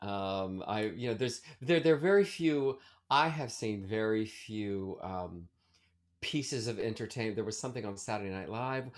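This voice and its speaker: A man with an American accent, fairly low in pitch, with ordinary pitch variation and a moderate pace. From Maryland, US (Baltimore area, Ellicott City). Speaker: Broadway actor and singer. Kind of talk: casual interview chat. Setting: video call. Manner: hesitant, many fillers and restarts.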